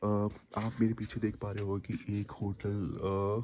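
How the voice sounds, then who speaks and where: A man speaks with fairly low pitch. His tone is dark and mellow. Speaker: travel vlogger. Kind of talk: travel vlog. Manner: halting, many fillers.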